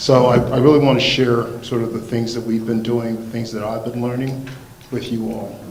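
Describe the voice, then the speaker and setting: Noticeable background noise and audible room echo fill the recording. A man talks over it at a moderate pace. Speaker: fire safety professor. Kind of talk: lecture. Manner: halting, many fillers.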